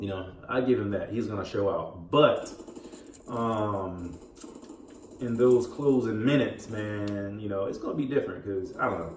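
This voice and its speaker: A man mumbles at a moderate pace, his fairly low voice showing ordinary pitch variation. Audible room echo and noticeable background noise are present. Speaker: gaming and sports commentary YouTuber. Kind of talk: casual commentary while gaming. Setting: home recording while playing video game. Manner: mumbling; distracted, halting with fillers.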